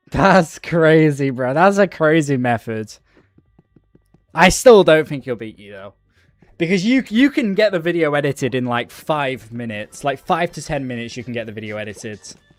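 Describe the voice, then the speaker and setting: With a British accent, a man speaks at fairly high pitch and a moderate pace. His intonation is lively and his loudness swings widely. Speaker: gaming streamer. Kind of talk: casual live-stream chat while gaming. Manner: casual, slangy.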